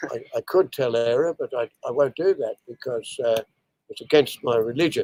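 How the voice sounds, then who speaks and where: An Australian accent comes through in a dry, close sound with no echo. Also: man. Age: 80s+. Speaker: veteran beekeeper. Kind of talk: interview. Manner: halting.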